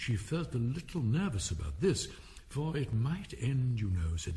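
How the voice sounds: What you hear is a natural reading voice.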